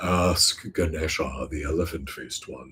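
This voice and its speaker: This man puts on a character voice pitched very deep and low, delivered at a moderate speed. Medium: read story. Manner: majestic.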